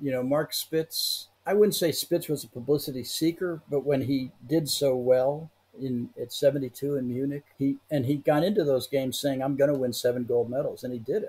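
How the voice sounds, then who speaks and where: A man with an American accent and a fairly high pitch speaks at a moderate pace, with hardly any pauses. His tone is dark, mellow and somewhat breathy, with ordinary pitch variation. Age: 70s. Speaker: Olympic historian. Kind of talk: podcast interview.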